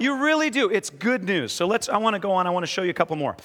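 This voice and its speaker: A man speaks in a high, raised and projected voice. His intonation is lively. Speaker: pastor. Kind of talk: sermon with interview. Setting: church with congregation. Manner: warm, humorous, informal.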